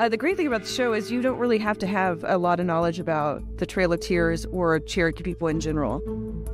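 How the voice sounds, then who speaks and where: A woman talks at a very fast pace in a warm, enthusiastic tone. Clear music plays in the background, and the sound is dry with no echo. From Cherokee Nation, United States. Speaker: Cherokee actress and activist, one-woman show performer. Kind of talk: promotional talk to camera about her own show. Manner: warm, enthusiastic, conversational. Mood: warm, reflective.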